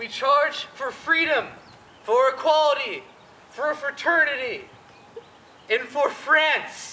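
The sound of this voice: In a put-on character voice, a woman speaks slowly at a high pitch with a bright, sharp tone, lively intonation, long, frequent pauses and audible room echo.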